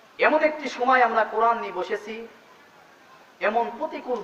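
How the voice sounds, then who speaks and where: There is noticeable background noise behind this man. He speaks in a passionate tone. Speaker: Islamic scholar giving a sermon. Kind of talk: Islamic sermon (waz) talk. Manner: emphatic, passionate preaching.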